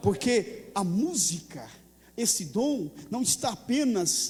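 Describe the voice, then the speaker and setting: A man's high-pitched voice at a very slow pace, with lively intonation. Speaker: pastor. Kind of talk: sermon.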